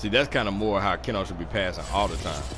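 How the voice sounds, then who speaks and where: The speaker sounds animated and talks at a fairly quick pace. Noticeable background noise can be heard. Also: man. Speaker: gaming streamer. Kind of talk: casual gameplay commentary.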